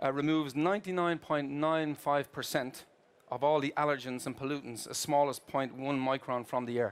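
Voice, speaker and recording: With an Irish accent, a man speaks at a fairly high pitch and with fairly even intonation. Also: moderate pace. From Ireland. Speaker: corporate procurement executive. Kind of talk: keynote presentation. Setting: stage with audience at trade fair. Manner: hesitant with filler words.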